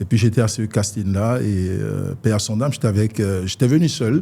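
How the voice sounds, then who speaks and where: A man's fairly low voice, dark and mellow in tone, at a moderate pace. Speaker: radio presenter and communicator. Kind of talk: interview. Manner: halting, many fillers and repetitions.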